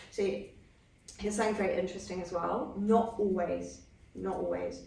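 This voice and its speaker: A woman speaks at a moderate pace, with audible room echo and noticeable background noise. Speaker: psychotherapy trainer. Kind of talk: training lecture. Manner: halting, many false starts.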